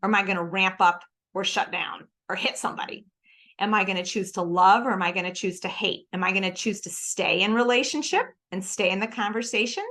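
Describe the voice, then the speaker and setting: A woman with an American accent talks at a fairly quick pace in a bright, sharp, animated tone. Her pitch is medium, and the background is quiet. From Philadelphia, US East Coast. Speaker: church staff speaker. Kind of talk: coaching talk. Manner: fast.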